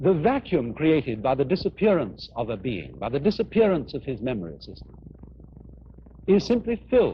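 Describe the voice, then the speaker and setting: A man with a fairly high voice speaks at a moderate pace, with very wide pitch swings and big swings in loudness. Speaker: philosopher. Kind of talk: philosophical lecture.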